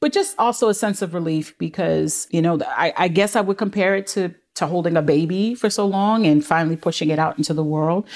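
A woman talks at a fairly quick pace with hardly any pauses, using an ordinary speaking voice. Her pitch is fairly low, with ordinary pitch variation and very even loudness. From Brooklyn, New York. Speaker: filmmaker. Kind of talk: casual chat.

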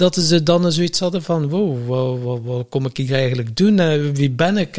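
A man with a Flemish accent speaks at a moderate pace. His pitch is fairly high, with ordinary variation. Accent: Flemish Dutch. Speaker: podcast co-host. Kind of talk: casual chat. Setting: farmhouse. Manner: animated.

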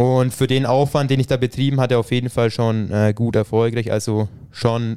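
A man with a medium pitch and a dark, mellow tone speaks at a moderate pace. His intonation is monotone and flat, and his loudness is very even. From Franconia, Bavaria (village near Thalmässing). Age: 20s. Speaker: triathlete. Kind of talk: casual interview. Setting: home podcast studio.

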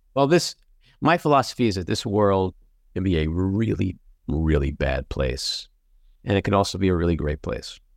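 With a very deep, low pitch and a New York accent, a man speaks at a moderate pace in lively intonation, leaving long, frequent pauses. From New York City (Queens). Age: 60s. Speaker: podcast host and actor. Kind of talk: casual chat. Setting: video call.

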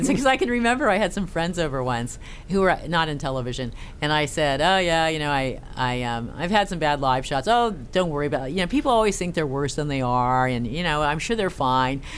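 Speaking at a fairly quick pace, a woman with a very deep, low pitch is heard with audible room echo. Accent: American. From California, San Francisco Bay Area. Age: 40s. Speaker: investigative TV reporter. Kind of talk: casual interview.

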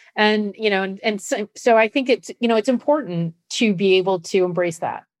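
A woman with an American accent and an unremarkable speaking voice talks at a medium pitch with ordinary pitch variation, recorded dry and close with no echo against a quiet background. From US Midwest, Nebraska. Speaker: podcast co-host and sports writer. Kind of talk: casual chat.

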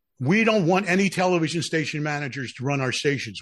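An unremarkable speaking voice with lively intonation at a fairly quick pace, over a quiet background. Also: man. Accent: American. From Philadelphia. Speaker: broadcast executive and radio DJ. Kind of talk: casual interview chat.

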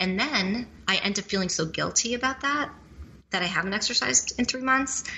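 The speaker talks at a fairly quick pace with lively intonation. Noticeable background noise runs underneath. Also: woman, medium pitch for a woman. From Italy. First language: Italian. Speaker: startup investor and media executive. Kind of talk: interview. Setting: home studio.

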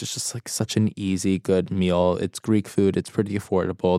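A man with an American accent talks at a fairly low pitch with fairly even intonation. The recording is very clean, with a silent background and a dry, close sound with no echo. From New York City, Brooklyn. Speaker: recipe developer and food content creator. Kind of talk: casual interview chat.

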